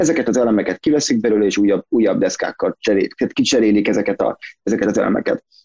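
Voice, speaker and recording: Talking at a very fast pace with very even loudness, a man is heard in a dry, close sound with no echo. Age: 30s. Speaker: graphic designer and visual artist. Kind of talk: casual interview. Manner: halting, many repetitions.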